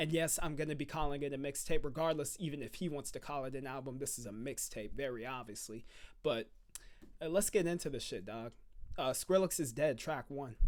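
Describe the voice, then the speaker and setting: Loud and at a fairly quick pace, a man talks with a fairly high pitch and ordinary pitch variation. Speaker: music reaction youtuber. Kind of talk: casual reaction commentary. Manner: loud into the mic; halting, repeats words.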